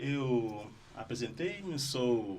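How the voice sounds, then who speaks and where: Somewhat breathy speech in an Angolan accent, with ordinary pitch variation and audible room echo. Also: man. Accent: Portuguese-like Angolan. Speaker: psychotherapist. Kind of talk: interview.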